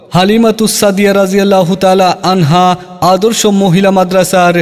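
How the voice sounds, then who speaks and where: Over noticeable background noise, a man speaks at a high pitch with monotone, flat intonation. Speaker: madrasa admission announcer (miking advertisement). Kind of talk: loudspeaker-style admission advertisement read.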